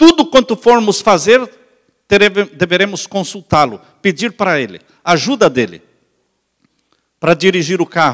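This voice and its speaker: In a Brazilian accent, a man speaks at a moderate pace with a high pitch and lively intonation, leaving long, frequent pauses. The sound is dry and close, with no echo. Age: 60s. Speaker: pastor. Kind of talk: sermon.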